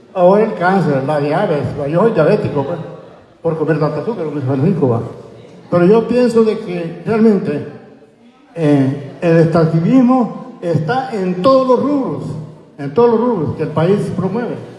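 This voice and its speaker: A high-pitched man speaks at a moderate pace with lively intonation and long, frequent pauses. Noticeable background noise and audible room echo fill the recording. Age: 70s. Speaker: community member. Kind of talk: public comment at community forum. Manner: halting.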